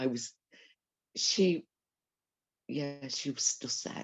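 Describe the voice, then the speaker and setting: A woman with a Dublin accent, very deep and low-pitched, at a very slow pace. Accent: Dublin Irish. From Ireland, Dublin. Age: 70s. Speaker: eyewitness. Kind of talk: interview testimony. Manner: halting.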